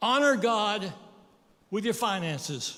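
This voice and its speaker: The voice is raised and projected, moving at a very slow pace with audible room echo. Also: man. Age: 80s+. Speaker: guest preacher. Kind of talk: sermon.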